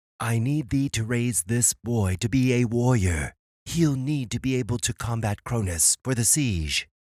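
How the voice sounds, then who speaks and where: In a cartoonish character voice, a man speaks at a moderate pace and medium pitch. The recording is very clean, with a silent background. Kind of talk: archaic mythic speech. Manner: solemn, measured.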